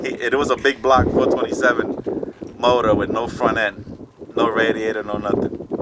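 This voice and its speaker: A man's monotone, flat intonation comes through with noticeable background noise behind it. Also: medium pitch for a man, moderate pace. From Puerto Rico. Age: 60s. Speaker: street racer and mechanic. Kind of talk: interview. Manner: casual, halting with fillers.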